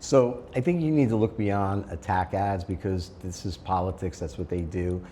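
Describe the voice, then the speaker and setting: A man speaks in a very deep, low voice with a dark, mellow tone and some breathiness. He keeps a moderate pace with hardly any pauses, and his pitch varies in an ordinary way. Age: 60s. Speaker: school board candidate. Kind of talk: interview. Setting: sit-down interview in person.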